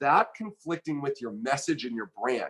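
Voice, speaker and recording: A man talks with lively intonation. His pitch is fairly high. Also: dry, close sound with no echo. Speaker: online business coach. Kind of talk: live stream coaching talk. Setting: live video broadcast. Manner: fast, somewhat aggressive delivery.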